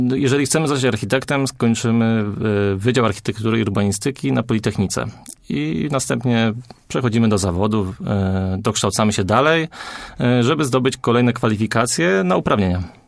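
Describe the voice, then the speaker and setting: A man's plain, everyday voice at a fairly quick pace, with ordinary pitch variation. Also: medium pitch for a man, very even loudness. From Poland, Greater Poland (small town near Wągrowiec). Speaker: architect. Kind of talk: radio interview.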